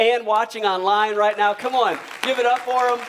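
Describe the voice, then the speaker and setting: A man talks at a fairly quick pace in a warm tone with an American accent. Noticeable background noise runs under his voice. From Michigan. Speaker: pastor. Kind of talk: sermon. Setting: church. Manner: earnest, fervent pleading cadence with repeated 'right now'; conversational and warm, with some stumbles and repetitions.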